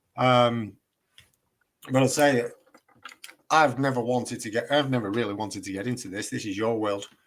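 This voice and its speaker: The speech, in a Lancashire accent, moves at a moderate pace with long, frequent pauses. The intonation stays fairly even. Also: man, medium pitch for a man. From northern England, Chorley, Lancashire. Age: 50s. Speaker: independent researcher, builder. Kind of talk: casual chat.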